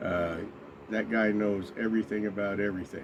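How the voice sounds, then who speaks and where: Noticeable background noise sits behind a man whose voice is fairly low in pitch. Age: 60s. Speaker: vlogger, former truck driver. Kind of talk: casual vlog talk to camera. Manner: hesitant, many fillers.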